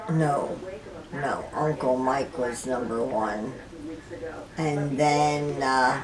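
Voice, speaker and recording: Very slow speech with long, frequent pauses and fairly even intonation comes through audible room echo and noticeable background noise. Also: woman, very deep, low pitch for a woman. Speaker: elderly mother recalling her life. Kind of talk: casual family interview.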